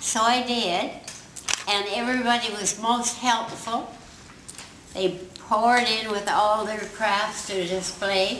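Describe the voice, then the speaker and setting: With light background noise and audible room echo, a woman talks at a very slow pace in a monotone, flat delivery, leaving long, frequent pauses. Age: 80s+. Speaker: honoured guest giving a speech. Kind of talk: public speech. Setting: community hall. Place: hall. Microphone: camera far.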